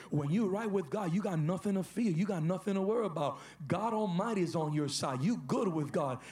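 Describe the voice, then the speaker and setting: With ordinary pitch variation, a man speaks at a fairly quick pace as noticeable background noise continues. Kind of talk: fervent charismatic prayer, leading the congregation in declaration and repentance. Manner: impassioned, urgent, exhortative, with rising intensity.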